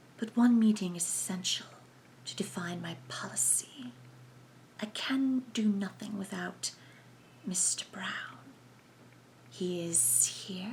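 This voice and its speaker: A put-on character voice that sounds female, at a middle pitch and fairly slow pace, comes with hissing and light background noise. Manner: measured, formal.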